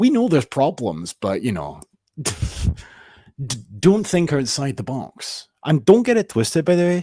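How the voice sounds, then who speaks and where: A man's fairly high, dark, mellow voice with very wide pitch swings and long, frequent pauses, on a very clean recording with a silent background. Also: moderate pace. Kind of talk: political commentary reacting to clips. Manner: sweary, sarcastic.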